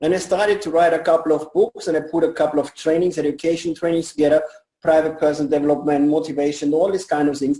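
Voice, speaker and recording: A man speaks with a German accent. His pitch sits fairly high. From Germany. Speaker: network marketing leader. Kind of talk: interview.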